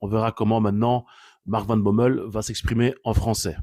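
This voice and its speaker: In a very clean recording with a silent background, a man speaks with a dark, mellow tone at a fairly low pitch. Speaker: football commentator vlogger. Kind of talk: casual opinion commentary. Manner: animated.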